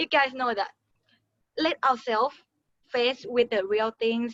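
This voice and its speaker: A dry, close sound with no echo and a Thai accent. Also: woman. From Thailand. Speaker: beauty pageant winner. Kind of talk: motivational talk. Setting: webinar. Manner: halting.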